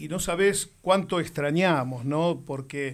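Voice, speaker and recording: In a very clean recording with a silent background, a man with an Argentine accent and a fairly high pitch speaks at a very slow pace. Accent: Rioplatense Argentine Spanish. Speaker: radio host. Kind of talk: interview.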